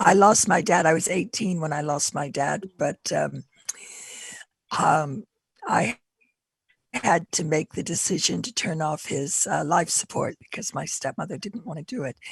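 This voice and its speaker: A woman's fairly low, somewhat breathy voice at a fairly slow pace, with long, frequent pauses, ordinary pitch variation, and a dry, close sound with no echo. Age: 60s. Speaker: panelist bereaved as a young adult. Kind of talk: panel discussion.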